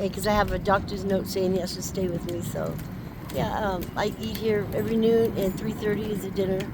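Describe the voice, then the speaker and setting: The speaker has an American accent and talks at a fairly quick pace. Audible room echo and noticeable background noise fill the recording. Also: woman. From California, Barstow area. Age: 60s. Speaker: homeless woman. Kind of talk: street interview.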